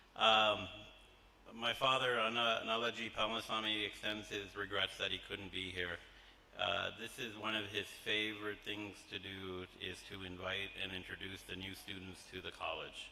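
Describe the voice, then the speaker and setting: An American accent with monotone, flat intonation at a moderate pace, over noticeable background noise. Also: man, fairly low pitch for a man. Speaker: college trustee. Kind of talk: welcome speech to new students. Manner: hesitant with many fillers.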